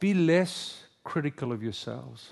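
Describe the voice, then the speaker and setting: Lively intonation marks this man's speech over a quiet background. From South Africa. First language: Afrikaans. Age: 50s. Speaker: pastor. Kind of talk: sermon. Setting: stage with audience.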